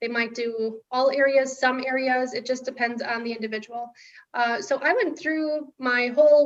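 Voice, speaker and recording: A woman speaks in a high pitch with fairly even intonation. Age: 40s. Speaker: permanent makeup artist and nonprofit founder. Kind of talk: interview testimony. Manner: halting.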